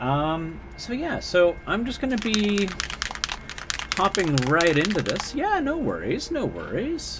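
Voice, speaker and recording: The speaker talks at a fairly slow pace with a western Canadian accent and very wide pitch swings. Audible room echo and music in the background fill out the recording. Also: man. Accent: rural western Canadian, countryside Canadian. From interior British Columbia, Canada. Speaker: miniature painting streamer. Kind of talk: casual livestream chat while painting. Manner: casual, halting with fillers.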